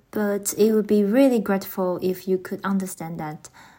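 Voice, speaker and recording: Speaking with a Taiwanese accent, a woman uses a medium pitch and ordinary pitch variation. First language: Mandarin Chinese. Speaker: podcast host. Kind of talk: scripted podcast introduction.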